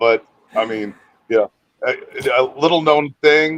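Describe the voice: A man at a fairly slow pace, in a dry, close sound with no echo.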